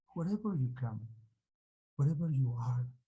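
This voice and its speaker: A man with a dark, mellow tone and a somewhat breathy quality speaks at a fairly slow pace in a medium pitch. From Peru, Andes (Colcha, Cusco). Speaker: Andean healer. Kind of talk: interview. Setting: video call. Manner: halting, many fillers.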